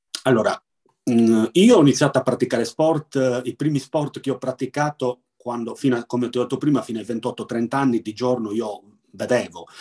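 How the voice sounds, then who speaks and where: Medium in pitch, a man talks with a dark, mellow tone and fairly even intonation. His pace is moderate, and the sound is dry and close with no echo. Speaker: blind baseball player and sports club president. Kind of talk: interview.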